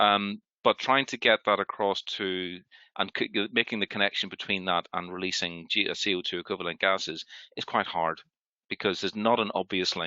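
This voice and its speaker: A man's fairly low voice, with fairly even intonation, at a moderate pace. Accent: Northern Irish. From Northern Ireland, Belfast. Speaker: healthcare sustainability panelist. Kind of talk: panel discussion. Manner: halting.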